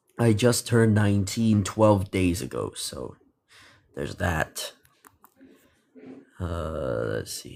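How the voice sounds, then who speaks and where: A booming man's voice with a very deep, low pitch moves at a very slow pace with lively intonation, big swings in loudness, and long, frequent pauses. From Philippines. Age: young (19). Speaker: livestreamer. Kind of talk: live stream chat.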